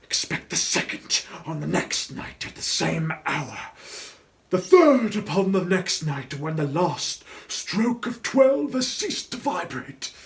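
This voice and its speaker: A man puts on a character voice, speaking at a high pitch and a fairly slow pace. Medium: read story. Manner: solemn, lamenting.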